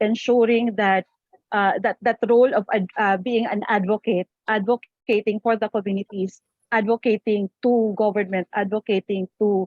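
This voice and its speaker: A woman at a moderate pace and medium pitch, in a monotone, flat intonation. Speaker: peacebuilding practitioner. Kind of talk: panel discussion. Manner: halting.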